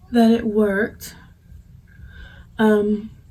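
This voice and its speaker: This woman's voice sits fairly high and sounds somewhat breathy. Her tone is dark and mellow. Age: 20s. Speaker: vlogger, mother. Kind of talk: casual talk to camera, product review.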